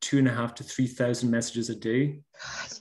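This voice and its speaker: Over a quiet background, a man with a Hebridean accent speaks in a dark, mellow tone with fairly even intonation. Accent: Scottish Hebridean. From Scotland. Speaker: baker and social media creator; social media creator. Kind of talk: casual interview. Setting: video call. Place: home room. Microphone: video call.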